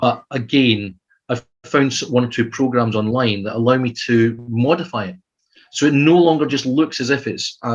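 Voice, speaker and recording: With a Scottish accent, a man speaks at a fairly quick pace in a medium pitch with ordinary pitch variation. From Scotland. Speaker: adventure writer. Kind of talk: casual chat. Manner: halting.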